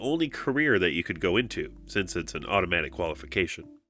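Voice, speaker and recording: Music plays behind a man speaking at a fairly quick pace. His pitch swings very widely. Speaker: tabletop game rules tutorial host. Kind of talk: tutorial narration.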